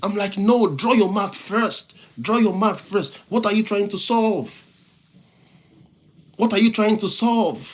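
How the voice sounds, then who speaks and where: Speaking with a non-native accent, this man has a high pitch and fairly even intonation. His pace is very slow, with long, frequent pauses. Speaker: motivational speaker and IT professional. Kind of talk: live-stream motivational talk. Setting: live stream. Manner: repetitive, halting restarts.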